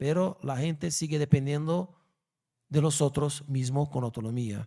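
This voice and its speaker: Spoken at a fairly slow pace with a Brazilian accent, this very clean recording has a silent background and ordinary pitch variation. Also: man. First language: Portuguese (speaking Spanish). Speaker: law professor. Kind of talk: lecture Q&A. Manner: halting.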